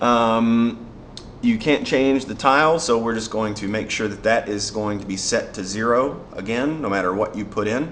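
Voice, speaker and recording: There is audible room echo as a man at a medium pitch speaks at a moderate pace with ordinary pitch variation. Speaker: software developer. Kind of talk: tutorial. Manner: casual, with fillers.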